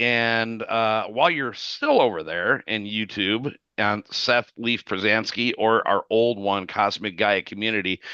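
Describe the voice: A man speaks at a fairly slow pace in a fairly low pitch, with ordinary pitch variation and a tone that is both clear and smooth yet bright and sharp.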